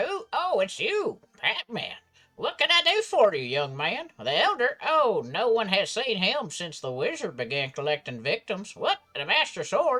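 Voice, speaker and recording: A man's put-on character voice at an extremely high pitch, moderate in pace with hardly any pauses, over music in the background. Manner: gentle, storytelling.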